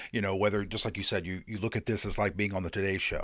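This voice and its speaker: A man speaks with an American accent at a fairly low pitch. The recording is very clean, with a silent background. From Indiana. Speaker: podcast host. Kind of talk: interview. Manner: halting, repeats words.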